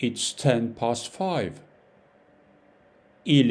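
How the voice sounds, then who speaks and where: A man with a French accent speaks at a very slow pace. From France. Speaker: French teacher. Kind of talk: language lesson tutorial. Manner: slow, repeating phrases for learners; halting, with many fillers.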